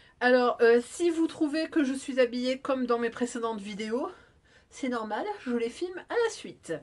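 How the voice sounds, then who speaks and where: Intonation here is lively. The delivery is fairly slow. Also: woman, high pitch for a woman. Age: 40s. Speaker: sewing vlogger. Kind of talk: casual vlog. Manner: hesitant, many fillers.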